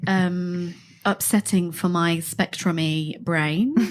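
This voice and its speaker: A woman's fairly low-pitched voice in a Bristolian accent, with fairly even intonation, in a very clean recording with a silent background. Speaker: drag performer and performance artist. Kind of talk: casual chat. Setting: studio.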